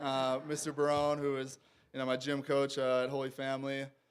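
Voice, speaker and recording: In an American accent, a man talks at a fairly quick pace with medium pitch and monotone, flat intonation. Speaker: professional football player. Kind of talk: acceptance speech. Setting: banquet hall with audience. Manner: hesitant, many fillers.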